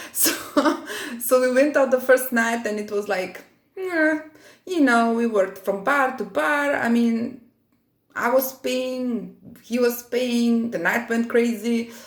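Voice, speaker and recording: A woman with a high pitch speaks with ordinary pitch variation. She leaves long, frequent pauses. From Eastern Europe. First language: Eastern European language. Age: 40s. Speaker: vlogger. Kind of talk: casual storytelling vlog. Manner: deliberately not too fast; hesitant, many fillers.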